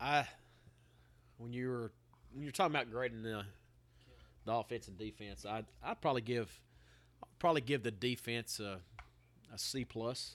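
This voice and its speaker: A man's medium-pitched voice at a moderate pace, with ordinary pitch variation, big swings in loudness and long, frequent pauses. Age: 20s. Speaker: sports podcast co-host. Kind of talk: casual chat. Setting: outdoor patio at a bar.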